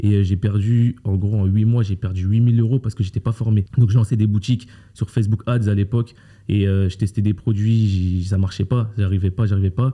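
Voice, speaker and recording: A man's fairly low, dark and mellow, somewhat breathy voice with monotone, flat intonation and very even loudness. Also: moderate pace. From France (Paris area). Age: 20s. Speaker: e-commerce coach. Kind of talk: interview. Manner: casual, slangy.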